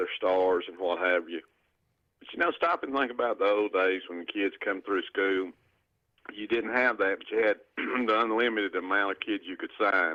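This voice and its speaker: A man with a Southern US accent speaks at a moderate pace, his pitch varying in an ordinary way and his loudness swinging widely. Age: 60s. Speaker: caller. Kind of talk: radio call-in. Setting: phone call.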